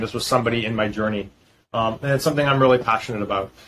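Very fast speech with an American accent. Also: man. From US Northeast, Boston. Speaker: fintech founder and CEO. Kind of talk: interview.

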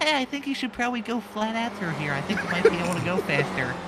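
A squeaky, put-on character voice with a fairly high pitch races along at a very fast pace. Loud background noise runs underneath.

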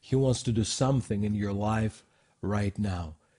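A man's fairly low voice has a dark, mellow tone and is somewhat breathy. His intonation stays fairly even. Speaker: co-host, minister. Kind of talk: group discussion. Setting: studio. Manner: halting.

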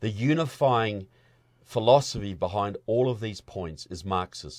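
A man with a New Zealand accent, fairly low in pitch with ordinary variation, at a fairly slow pace on a very clean recording with a silent background. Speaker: filmmaker and activist. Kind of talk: interview conversation. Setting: studio.

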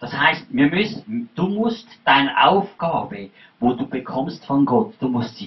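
This man's pitch swings very widely. He talks at a very slow pace. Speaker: preacher. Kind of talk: sermon delivered in German with a line-by-line English interpreter. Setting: church. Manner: animated, fervent preaching, pausing for the interpreter.

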